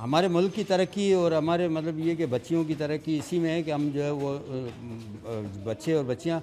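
A man talks at a moderate pace, his pitch varying in an ordinary way, while music plays in the background. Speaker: boxing coach. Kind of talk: interview answer. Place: gym.

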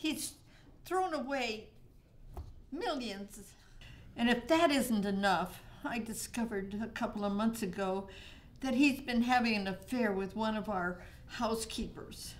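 A woman talks at a fairly slow speed, her voice somewhat breathy. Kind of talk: scripted dialogue, conversational. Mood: calm, self-assured, slightly stern. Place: meeting room.

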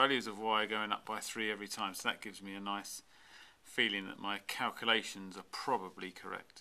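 His tone bright and sharp, a man talks at a fairly quick pace with a fairly low pitch and a monotone, flat intonation. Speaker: maths teacher. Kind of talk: tutorial. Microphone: camera far.

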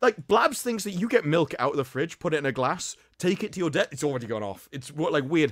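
Recorded dry and close with no echo, very clean and with a silent background, a man talks at a fairly quick pace with very wide pitch swings. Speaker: podcast panelist. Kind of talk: casual chat.

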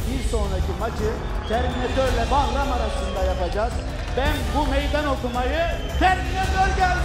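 Loud music plays in the background while a man talks at a moderate pace. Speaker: fight event promoter or host announcing the next match. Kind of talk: announcement to the crowd. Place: hall. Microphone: handheld.

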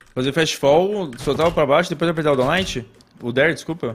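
The man's pitch variation is ordinary. He keeps a moderate pace. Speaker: gaming co-host. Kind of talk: livestream tutorial. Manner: halting.

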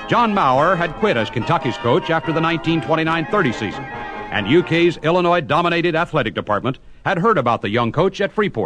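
Against music in the background, a man speaks at a very fast pace with lively intonation and hardly any pauses. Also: fairly high pitch for a man. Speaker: sports broadcaster interviewer. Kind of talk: radio sports interview and narration.

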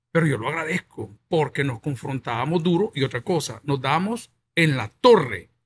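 A man speaks at a moderate pace with a fairly high pitch, somewhat breathy delivery and lively intonation. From El Salvador. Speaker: pastor and talk show host; pastor, talk show host. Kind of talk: interview. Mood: animated, reflective. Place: studio. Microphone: studio mic.

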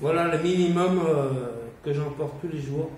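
A man talks fairly slowly with ordinary pitch variation, with audible room echo and light background noise. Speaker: YouTuber, survivalist; vlogger. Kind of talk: casual video monologue. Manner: casual, hesitant. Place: home room. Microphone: camera far.

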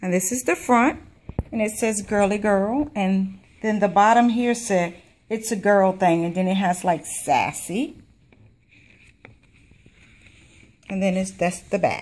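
A woman talks at a fairly slow pace with ordinary pitch variation. She leaves long, frequent pauses. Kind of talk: craft show-and-tell. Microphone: camera far.

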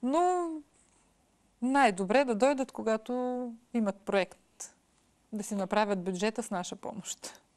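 Over a quiet background, a woman with a fairly high pitch talks at a fairly slow pace, her lively intonation paired with big swings in loudness. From Bessarabian Bulgarian village, Odesa region, Ukraine; Ukraine. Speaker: educator and mother; educator. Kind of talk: interview. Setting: studio. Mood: calm, reminiscing. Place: studio.

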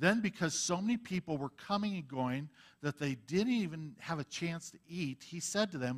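The speaker is a man. He keeps a moderate pace, and his intonation stays lively. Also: quiet background. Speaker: Bible teacher. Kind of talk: sermon. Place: church. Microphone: headset.

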